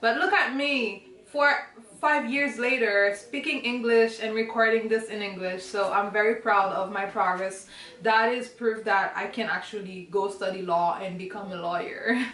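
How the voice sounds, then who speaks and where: A woman with a Haitian accent, fairly high-pitched, with ordinary pitch variation and a moderate pace, amid audible room echo and noticeable background noise. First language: Haitian Creole. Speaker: student and vlogger. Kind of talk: casual Q&A vlog. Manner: halting, searching for words.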